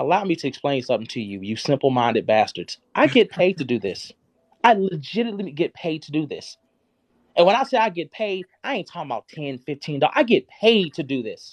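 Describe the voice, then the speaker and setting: The sound is dry and close with no echo as a man with a high pitch speaks at a fairly quick pace, his voice making very wide pitch swings against a quiet background. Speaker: live streamer. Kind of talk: heated rant. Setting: live stream. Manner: loud; animated.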